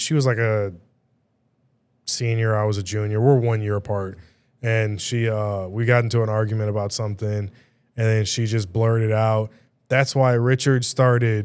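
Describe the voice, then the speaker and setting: A soft-spoken man talks in a monotone, flat intonation with long, frequent pauses. The recording is very clean, with a silent background. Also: moderate pace. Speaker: podcast host and DJ. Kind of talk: casual chat. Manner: soft-spoken, monotone; louder than usual for the mic.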